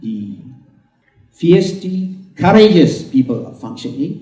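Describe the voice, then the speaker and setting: Over audible room echo, a man speaks at a fairly high pitch with very wide pitch swings. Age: 70s. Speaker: book launch speaker. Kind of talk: speech at book launch.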